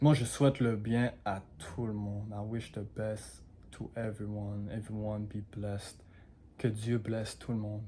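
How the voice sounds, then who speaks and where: A man talks fairly slowly at a fairly low pitch, with fairly even intonation. His tone is dark and mellow, and somewhat breathy. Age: 20s. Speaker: marketing agency owner, vlogger. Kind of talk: casual vlog monologue. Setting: alone in his living room at home. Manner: casual, mixes English into French.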